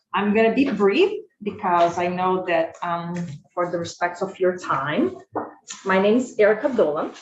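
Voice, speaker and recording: A woman with a Brazilian Portuguese accent speaks at a fairly slow pace, in a medium pitch with ordinary pitch variation. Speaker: school food service director. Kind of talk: committee testimony. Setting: legislative committee hearing. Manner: halting, many fillers.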